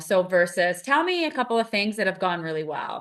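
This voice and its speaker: A loud woman's voice, fairly low in pitch and bright and sharp in tone, at a moderate pace over a quiet background. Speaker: podcast co-host, behavior analyst mentor. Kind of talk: casual podcast conversation.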